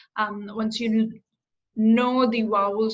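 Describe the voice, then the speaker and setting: This woman's voice sits fairly high and sounds somewhat breathy. Her intonation is monotone and flat. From India, Agra. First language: Hindi. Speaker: career coach. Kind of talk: interview. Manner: hesitant, many fillers.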